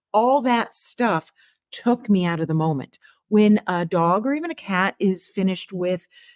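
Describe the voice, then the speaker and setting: A woman talks at a fairly slow pace in an ordinary speaking voice, medium in pitch, with lively intonation. The recording is very clean with a silent background and a dry, close sound with no echo. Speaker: veterinary oncologist and author. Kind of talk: podcast interview.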